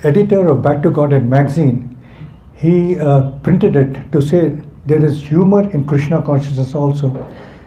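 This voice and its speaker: Recorded with audible room echo, a man with a fairly high pitch talks at a fairly slow pace with ordinary pitch variation. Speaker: spiritual teacher. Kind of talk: religious class. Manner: halting.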